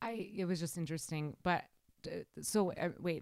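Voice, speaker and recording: On a very clean recording with a silent background, a woman with a Wisconsin accent and a fairly low pitch speaks at a fairly slow pace with fairly even intonation. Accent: Wisconsin Midwestern. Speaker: podcast host. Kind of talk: casual chat.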